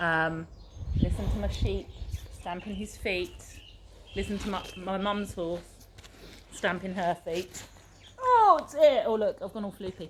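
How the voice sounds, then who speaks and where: Noticeable background noise, big swings in loudness, and long, frequent pauses. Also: woman. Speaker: circus fitness instructor. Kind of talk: casual chat; guided meditation. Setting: outdoors. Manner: slow; soft-spoken.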